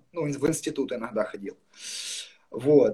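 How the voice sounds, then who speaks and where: A man speaks at a moderate pace. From Ukraine, Luhansk region. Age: 20s. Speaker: interviewee sharing recovery story. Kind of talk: personal testimony.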